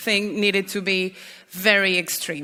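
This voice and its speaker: A woman's medium-pitched voice with a bright, sharp tone at a moderate pace. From Mexico, Mexico City. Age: 30s. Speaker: drug policy activist. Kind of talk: conference talk.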